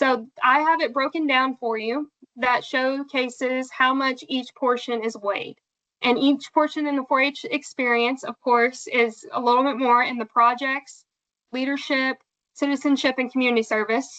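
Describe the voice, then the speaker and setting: With a bright, sharp tone and a high pitch, a woman speaks at a moderate pace with fairly even intonation, the sound dry and close with no echo. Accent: American. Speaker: 4-H extension presenter. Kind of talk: training presentation.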